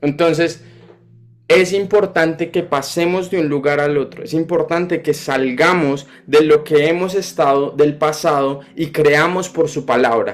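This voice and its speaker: A man speaks at a fairly slow pace in an ordinary speaking voice, his pitch fairly high and his intonation fairly even. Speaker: preacher. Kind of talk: sermon.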